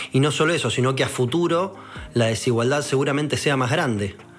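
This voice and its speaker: Speaking with a Rioplatense accent at a moderate pace, a man of medium pitch has lively intonation, with audible room echo and music in the background. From Argentina, Buenos Aires. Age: 30s. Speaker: politician. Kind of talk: political speech.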